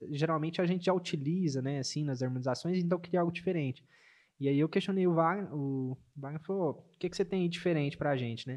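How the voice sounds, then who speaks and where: Speaking at a very fast pace, a man with a fairly high pitch shows ordinary pitch variation. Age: 20s. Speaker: barista and café manager. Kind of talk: casual chat with brewing demonstration. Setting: studio.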